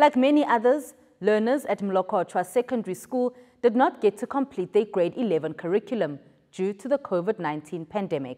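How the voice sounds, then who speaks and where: With a dark, mellow tone and fairly high pitch, a woman speaks at a moderate pace with very wide pitch swings over a quiet background. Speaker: television news presenter. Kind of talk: formal news bulletin reading, scripted. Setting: studio. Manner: formal, measured, even-paced newsreader delivery; clear, polished, neutral tone with scripted headlines.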